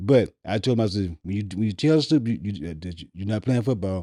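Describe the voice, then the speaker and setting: A man's fairly low, dark, mellow voice at a very fast pace, in a dry, close sound with no echo and a very clean recording against a silent background. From US South, Mississippi. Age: 70s. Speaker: rapper's father. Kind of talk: casual chat. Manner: halting, repeats words.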